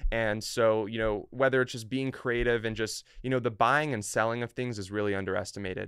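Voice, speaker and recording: A man's medium-pitched voice, a normal speaking voice, at a fairly quick pace with hardly any pauses and fairly even intonation. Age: young. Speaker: online entrepreneur. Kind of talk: casual chat.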